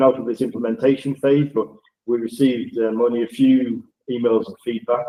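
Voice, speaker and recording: A man speaks with a Northern English accent. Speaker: project data manager presenting software. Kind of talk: webinar presentation. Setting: video call.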